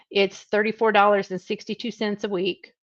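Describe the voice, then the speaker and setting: In a Southern US accent, a woman speaks at a medium pitch with a dry, close sound and no echo against a quiet background. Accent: Southern drawl. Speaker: trucking recruiter. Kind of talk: live stream Q&A. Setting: live video stream. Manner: casual, chatty with fillers.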